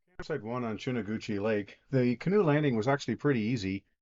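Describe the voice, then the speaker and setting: Using a plain, everyday voice, a man at medium pitch talks at a fairly quick pace with lively intonation. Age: 60s. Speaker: outdoor vlogger. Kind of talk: casual vlog narration. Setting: outdoors.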